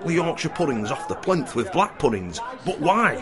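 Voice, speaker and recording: Over music in the background, a man talks in a high pitch with very wide pitch swings. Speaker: roving reporter. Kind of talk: documentary voice-over narration.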